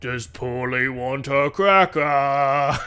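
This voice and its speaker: A man's put-on character voice, rumbling and at medium pitch. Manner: playful, acted out.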